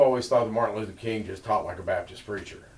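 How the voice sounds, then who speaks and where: Room echo is audible. A man talks at a very fast pace. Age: 60s. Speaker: oral history interviewer. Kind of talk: interview.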